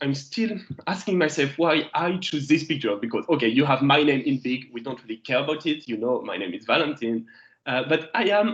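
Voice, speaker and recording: Against a quiet background, a man with a French accent makes very wide pitch swings. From France. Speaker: geology lecturer. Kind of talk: lecture. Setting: video call. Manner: hesitant, many fillers.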